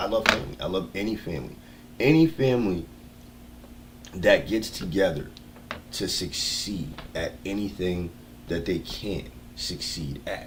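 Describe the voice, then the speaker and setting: With an American accent and an animated tone, a man with a fairly low voice speaks at a moderate pace, swinging his pitch very widely, amid audible room echo. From US East Coast. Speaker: livestreamer. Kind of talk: casual livestream monologue.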